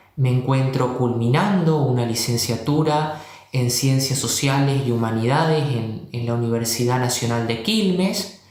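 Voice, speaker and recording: Over noticeable background noise and audible room echo, a man at medium pitch speaks at a fairly slow pace with ordinary pitch variation and hardly any pauses. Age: 20s. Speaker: history teacher. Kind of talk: panel discussion. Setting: video call.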